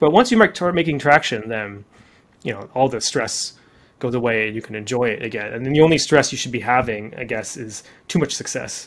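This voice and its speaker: A man's unremarkable speaking voice with a Canadian accent, medium pitch, ordinary pitch variation, big swings in loudness and a fairly quick pace. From Canada, Deep River, Ontario. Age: 40s. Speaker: startup founder and CEO. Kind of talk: podcast interview.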